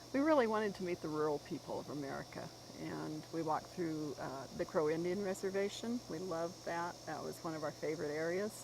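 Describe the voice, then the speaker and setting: Speaking fairly quickly in a normal speaking voice, a woman uses a fairly low pitch with ordinary pitch variation. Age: 60s. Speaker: author and long-distance walker. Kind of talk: interview.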